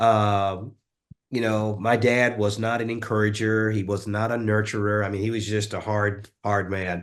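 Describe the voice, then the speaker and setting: A man with a Southern US accent speaks at a moderate pace in a fairly low, monotone voice with flat intonation against a quiet background. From US South, rural West Tennessee. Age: 50s. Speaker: author and leadership coach. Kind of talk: interview.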